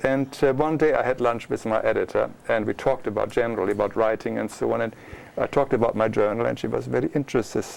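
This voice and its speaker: A man with a German accent, very fast and with hardly any pauses, over noticeable background noise. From Germany. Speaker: author and illustrator. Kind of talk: interview.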